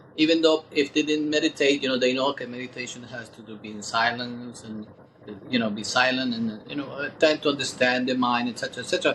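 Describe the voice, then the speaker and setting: Amid noticeable background noise, a man at a medium pitch talks at a very fast pace with fairly even intonation and big swings in loudness. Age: 60s. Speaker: meditation teacher. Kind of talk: interview. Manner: halting.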